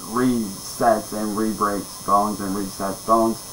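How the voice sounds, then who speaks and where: Over light background noise, a man speaks at a fairly slow pace with a monotone, flat intonation. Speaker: storyteller. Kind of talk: casual vlog chat. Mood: calm, low-key storytelling. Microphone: webcam.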